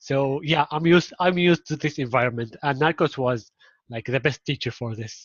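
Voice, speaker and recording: A man speaks with an Arabic accent at a moderate pace. His pitch varies in an ordinary way. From Syria. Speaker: marketing implementation specialist. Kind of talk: casual interview chat.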